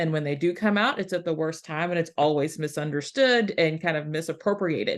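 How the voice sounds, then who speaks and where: A woman with a Southeast Texas accent speaks at a very deep, low pitch. Her pitch varies in an ordinary way, and the background is quiet. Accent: Southeast Texas accent, clearly noticeable. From US South, rural Southeast Texas. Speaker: historian, academic. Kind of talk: panel presentation.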